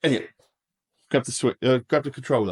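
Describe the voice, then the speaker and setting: A man with an English accent, heard in a dry, close sound with no echo. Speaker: DIY home renovator, vlogger. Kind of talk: casual video tour. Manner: fast.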